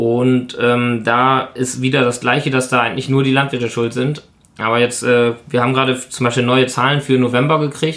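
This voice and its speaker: Monotone and flat, a man at a medium pitch speaks at a moderate pace with very even loudness. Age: 20s. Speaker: dairy and pig farmer. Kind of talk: interview. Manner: hesitant, many filler sounds.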